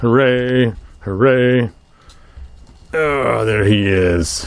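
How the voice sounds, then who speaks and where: Delivered at a very slow pace, the speech has ordinary pitch variation. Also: man, medium pitch for a man. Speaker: toy collector youtuber. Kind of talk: unboxing review.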